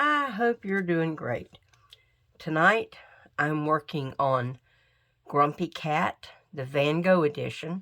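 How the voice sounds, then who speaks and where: A woman speaks in a very deep, low voice with ordinary pitch variation, on a very clean recording with a silent background. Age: old. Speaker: crafting YouTuber. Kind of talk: casual chat. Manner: conversational, with fillers.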